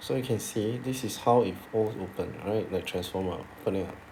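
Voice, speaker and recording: Audible room echo around a man's moderately paced speech, fairly low in pitch with ordinary variation. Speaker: math teacher. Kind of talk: tutorial.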